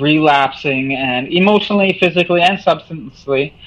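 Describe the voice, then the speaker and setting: With a Canadian accent, this voice shows ordinary pitch variation. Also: man. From Manitoba, Canada. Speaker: musician. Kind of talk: interview. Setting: remote call. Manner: halting.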